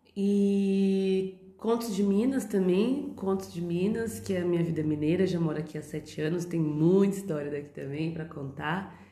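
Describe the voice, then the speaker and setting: Noticeable background noise sits behind a woman with a fairly low pitch and ordinary pitch variation. She keeps a moderate pace with hardly any pauses. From Brazil, São Paulo. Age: 30s. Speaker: podcast host. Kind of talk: casual monologue. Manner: chatty, talkative.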